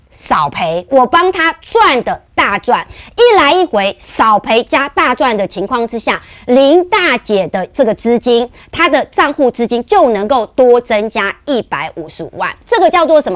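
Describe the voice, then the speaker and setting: The pitch swings very widely at a fairly slow pace. The sound is dry and close, with no echo. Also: woman, high pitch for a woman. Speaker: stock market analyst. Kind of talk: market commentary show. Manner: animated.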